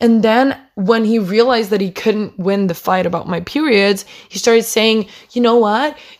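Here a woman speaks in an unremarkable speaking voice at a medium pitch. Her pace is moderate and her pitch variation is ordinary. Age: young. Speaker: podcast host, upper secondary student. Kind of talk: casual solo rant. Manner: chatty, frequent laughter.

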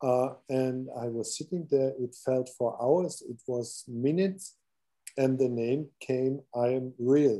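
A man with a German accent speaks at a very slow pace, his medium-pitched voice dark and mellow in tone with ordinary pitch variation. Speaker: podcast host. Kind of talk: interview. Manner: halting.

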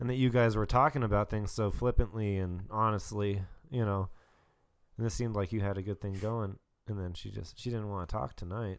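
A man with a fairly low pitch talks in a normal speaking voice at a fairly quick pace. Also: very clean recording, silent background. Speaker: podcast guest. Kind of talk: casual chat.

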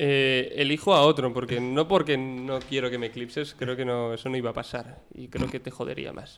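An ordinary speaking voice at a moderate pace, with hardly any pauses, big swings in loudness and fairly even intonation. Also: man, medium pitch for a man. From Bilbao, Basque Country. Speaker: journalism student. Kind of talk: casual chat.

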